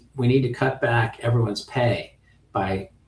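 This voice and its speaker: A man with a medium pitch and fairly even intonation talks against noticeable background noise. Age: 60s. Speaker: options trading instructor. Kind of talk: lecture. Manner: casual, conversational with fillers.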